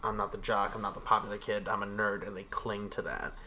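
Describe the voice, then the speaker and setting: A man talking at a fairly quick pace. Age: 20s. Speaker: science and social studies teacher, podcast guest. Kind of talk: casual chat. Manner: animated.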